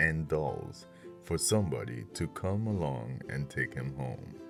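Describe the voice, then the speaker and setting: Music plays in the background while a man speaks at a fairly slow pace. His pitch makes very wide swings. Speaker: voice actor. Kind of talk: children's book narration.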